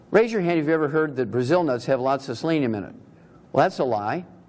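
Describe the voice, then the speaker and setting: Spoken at a very fast pace with lively intonation, the voice carries audible room echo. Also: man. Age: 70s. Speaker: naturopathic doctor and health lecturer. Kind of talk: lecture. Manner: animated.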